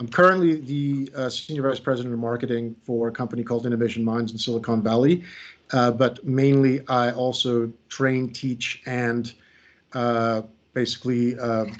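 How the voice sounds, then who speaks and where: Delivered at a moderate pace, the speech has fairly even intonation and an American accent. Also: man, medium pitch for a man. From United States. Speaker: creativity coach and trainer. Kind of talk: workshop presentation. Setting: video call. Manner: hesitant, many fillers.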